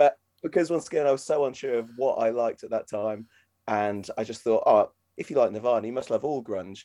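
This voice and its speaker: With a Norfolk accent, a man speaks at a fairly quick pace and a medium pitch. His tone is dark and mellow, and the background is quiet. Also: ordinary pitch variation. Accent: Norfolk English, British. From Norfolk, England. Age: 30s. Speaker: vocalist and guitarist in a band. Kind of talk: casual interview chat.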